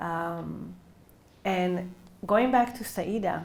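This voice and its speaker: With an Israeli accent and medium pitch, a woman speaks amid audible room echo. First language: Hebrew. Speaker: novelist. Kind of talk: book talk interview. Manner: hesitant, many fillers.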